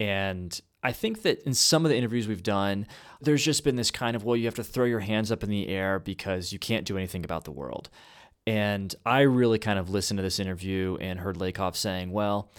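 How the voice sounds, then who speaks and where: A man with a fairly low pitch uses an ordinary speaking voice, with ordinary pitch variation at a fairly quick pace. The recording is very clean, with a silent background. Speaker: podcast co-host and college teacher. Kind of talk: casual discussion.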